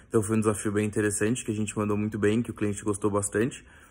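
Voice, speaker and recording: A man's fairly deep voice comes through on a very clean recording with no sound behind it. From São Paulo, Brazil. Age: 20s. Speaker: recent marketing graduate. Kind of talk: self-introduction video. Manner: frequent fillers and hesitations.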